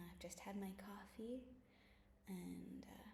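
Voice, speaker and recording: Soft-spoken and at a fairly slow pace, a woman talks with audible room echo around her. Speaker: bible study vlogger. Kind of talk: casual chat; reading aloud. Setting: at home.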